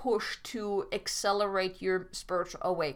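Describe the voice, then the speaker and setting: A woman speaks in a German accent at a medium pitch. Her pace is fairly slow. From Germany. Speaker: podcast host and life coach. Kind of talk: solo podcast monologue. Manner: halting, with frequent self-corrections.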